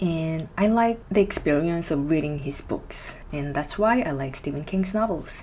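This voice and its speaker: A woman with a Korean accent, fairly low pitch and lively intonation, at a fairly slow pace with hardly any pauses, amid noticeable background noise. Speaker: musician and book reviewer. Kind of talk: book review vlog.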